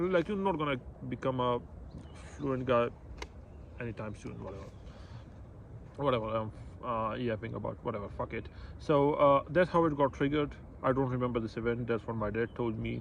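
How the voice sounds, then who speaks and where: Someone speaks in a Pashto accent at a fairly quick pace. Long pauses come frequently. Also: man, medium pitch for a man, lively intonation. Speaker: vlogger. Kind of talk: personal testimony. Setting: outdoors. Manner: halting.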